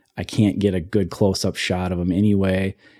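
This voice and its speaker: Over a very clean recording with a silent background, a man with an Upper Midwest accent speaks at a moderate pace in a fairly low pitch and a dark, mellow tone. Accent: Upper Midwest (Minnesota). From Ely, northern Minnesota. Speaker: photographer. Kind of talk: casual chat.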